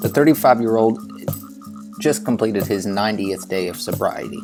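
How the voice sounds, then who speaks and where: Words come at a fairly quick pace while music plays behind them. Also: man. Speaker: podcast host. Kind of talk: podcast intro narration.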